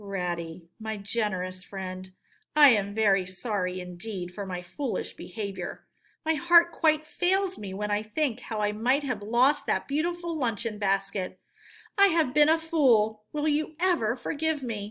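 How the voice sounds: A woman puts on a character voice at a fairly high pitch. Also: moderate pace.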